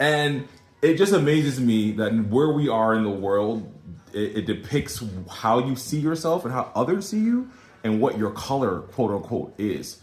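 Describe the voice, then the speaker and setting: A man with an unremarkable speaking voice, medium pitch, lively intonation, a moderate pace and an American accent. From USA. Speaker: social media commentator. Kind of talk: casual vlog monologue.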